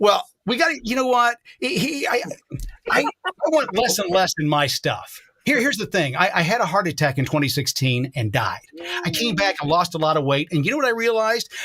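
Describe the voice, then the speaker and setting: A man talks in a raised, projected voice at a high pitch. His pitch swings very widely, and his pace is fairly quick. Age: 60s. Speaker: talk show guest. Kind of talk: casual chat. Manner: halting, repeats words.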